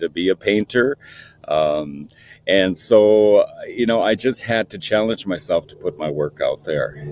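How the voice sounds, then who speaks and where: Captured dry and close with no echo, a man talks at a fairly slow pace. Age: 60s. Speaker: painter. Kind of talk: interview. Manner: halting, many fillers.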